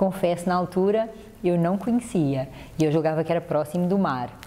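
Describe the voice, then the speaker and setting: Her voice pitched fairly low, a woman speaks with mostly level intonation. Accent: European Portuguese. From Portugal. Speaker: mediation specialist. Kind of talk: TV interview.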